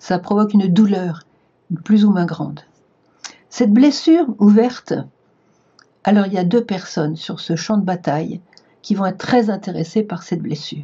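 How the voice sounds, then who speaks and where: Somewhat breathy, a woman talks at a moderate pace with long, frequent pauses. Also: medium pitch for a woman, ordinary pitch variation. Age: 70s. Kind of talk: spiritual talk to camera. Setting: video recorded for online viewers.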